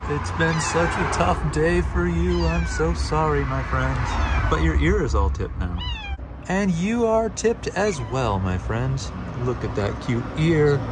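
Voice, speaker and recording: A man at a very slow pace, dry with no echo, over loud background noise. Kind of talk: casual vlog chat. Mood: warm, affectionate.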